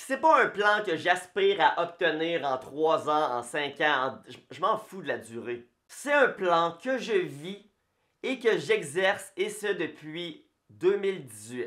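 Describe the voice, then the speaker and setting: Against a quiet background, a man with a Quebec accent speaks at a very slow pace. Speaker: personal finance youtuber. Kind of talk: direct-to-camera explainer video. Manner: casual. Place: home room.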